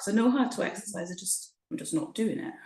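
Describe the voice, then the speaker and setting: Female speech, somewhat breathy, swinging very widely in pitch. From Shetland, Scotland (born Essex). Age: 40s. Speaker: mother and programme member, former personal trainer. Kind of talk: interview. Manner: hesitant, many fillers.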